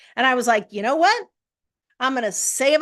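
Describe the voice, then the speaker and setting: Her voice raised and projected, a woman with an American accent speaks at a high pitch in an animated tone, with lively intonation and a bright, sharp quality. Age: 60s. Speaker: online business coach. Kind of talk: live training webinar. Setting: live online stream.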